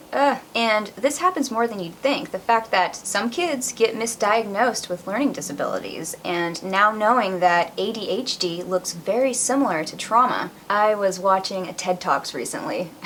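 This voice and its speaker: A woman's fairly high voice with lively intonation, a moderate pace, hardly any pauses and noticeable background noise. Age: 20s. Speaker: vlogger sharing personal story. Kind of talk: personal testimony vlog.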